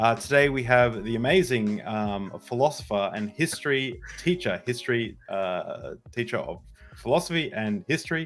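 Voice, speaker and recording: With an Australian accent, a man speaks in a medium pitch with lively intonation and hardly any pauses on a very clean recording with a silent background. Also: moderate pace. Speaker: podcast host. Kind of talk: casual interview chat. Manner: halting, many fillers.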